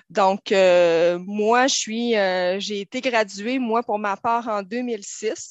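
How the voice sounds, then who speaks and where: A woman speaks in a Saguenay accent with a fairly high pitch and ordinary pitch variation. Her pace is very slow, with hardly any pauses. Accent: Saguenay Quebec French. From Quebec, Saguenay. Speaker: police social worker. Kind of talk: radio panel discussion. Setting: studio.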